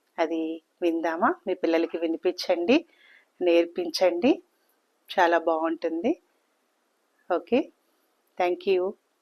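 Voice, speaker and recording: A woman's fairly low voice in a Telangana accent, with long, frequent pauses, in a dry, close sound with no echo. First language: Telugu (speaking Hindi). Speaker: children's poem reciter. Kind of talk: reading aloud.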